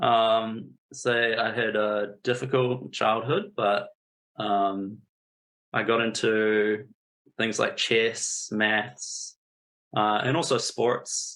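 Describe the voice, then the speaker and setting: A very slow man's voice with a New Zealand accent, medium in pitch, with fairly even intonation, very even loudness, and long, frequent pauses. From New Zealand, Napier. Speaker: statistician. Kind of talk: interview. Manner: hesitant.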